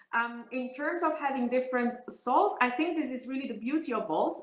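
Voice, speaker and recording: In an Italian accent, a woman speaks at a moderate pace with a high pitch. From Italy. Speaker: politician. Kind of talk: interview.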